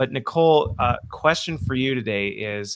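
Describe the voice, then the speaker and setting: A man with an American accent, medium pitch and ordinary pitch variation. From United States. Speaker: podcast host. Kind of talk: casual chat. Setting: live video stream. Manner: animated.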